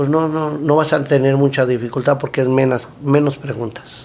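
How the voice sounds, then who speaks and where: Moderately paced, fairly high-pitched speech from a man in an unremarkable speaking voice. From Mexico City. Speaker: food truck owner and cook. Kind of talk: casual interview chat.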